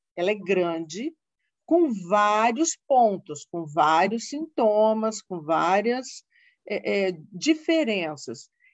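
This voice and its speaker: With very wide pitch swings around a medium pitch, a woman speaks at a very slow pace. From Brazil, Paraná (Londrina). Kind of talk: informative interview.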